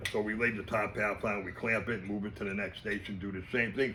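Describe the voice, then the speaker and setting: With audible room echo, a man talks at a very fast pace in a fairly low pitch. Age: 60s. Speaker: fishing lure maker. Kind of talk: casual interview.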